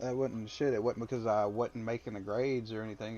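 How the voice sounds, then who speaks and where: A man with a strong Southern US accent speaks at a fairly quick pace. His medium-pitched voice stays flat and monotone. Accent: heavy Southern accent, picked up in Alabama. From Mississippi. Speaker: army veteran and former truck driver. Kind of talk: casual chat.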